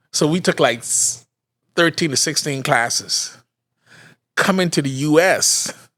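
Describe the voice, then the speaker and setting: A man with a fairly high, bright, sharp voice talks at a fairly slow pace, with ordinary pitch variation and an animated tone. Long, frequent pauses stand out in a very clean recording with a silent background. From Bahamas. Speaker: podcast host, father of former football player. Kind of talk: casual chat.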